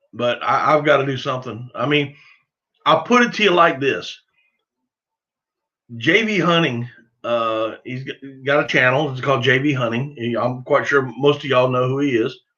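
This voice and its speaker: With a Southern US accent, a man with a fairly high pitch speaks at a moderate pace with ordinary pitch variation and long, frequent pauses. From US South. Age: 50s. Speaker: duck hunting youtuber. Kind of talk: live stream chat. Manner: casual, halting.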